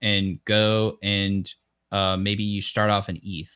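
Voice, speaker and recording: Fairly low in pitch, a man's voice comes through dry and close with no echo. The recording is very clean, the background silent. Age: 20s. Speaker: podcast host. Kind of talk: casual interview chat. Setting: live-streamed video podcast. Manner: energetic.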